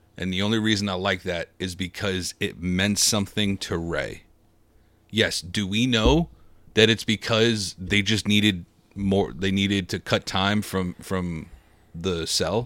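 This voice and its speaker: A man's fairly low voice, an ordinary speaking voice, at a fairly slow pace with fairly even intonation in a very clean recording with a silent background. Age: 20s. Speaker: wrestling podcast co-host. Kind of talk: casual chat.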